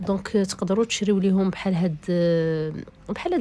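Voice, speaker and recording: In a Moroccan accent, a woman speaks at a fairly quick pace and medium pitch, her tone dark and mellow, with ordinary pitch variation. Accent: Moroccan Darija with French code-switching. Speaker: vlogger. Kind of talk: casual shop tour vlog. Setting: inside a shop.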